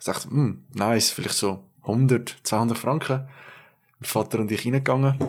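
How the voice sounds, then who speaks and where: The speaker has a Swiss accent and a moderate pace. Intonation stays fairly even. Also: man. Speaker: podcast co-host, intern. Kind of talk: casual chat.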